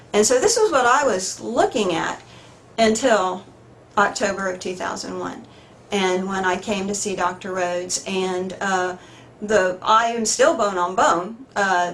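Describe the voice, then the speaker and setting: There is audible room echo around a woman's voice. She speaks fairly slowly with ordinary pitch variation. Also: medium pitch for a woman. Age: 60s. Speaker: patient giving testimonial. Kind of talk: testimony. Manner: halting.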